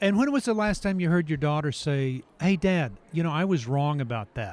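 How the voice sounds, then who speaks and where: A man with a plain, everyday voice, fairly high-pitched, with lively intonation. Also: moderate pace. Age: 60s. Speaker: author and ranch counselor for troubled teens. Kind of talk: podcast interview.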